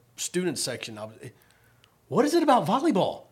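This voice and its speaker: Noticeable background noise is present. A man speaks at a very fast pace. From Virginia, Richmond. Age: 50s. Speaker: podcast host, sports director. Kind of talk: casual interview.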